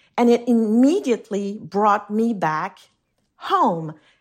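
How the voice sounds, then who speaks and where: A woman speaks with a French accent. The recording is very clean, with a silent background. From Switzerland. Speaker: food writer. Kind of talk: casual interview.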